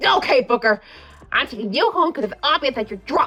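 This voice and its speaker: A woman performs a put-on character voice, high in pitch with very wide swings. She keeps a moderate pace over faint background music. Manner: stammering, worried.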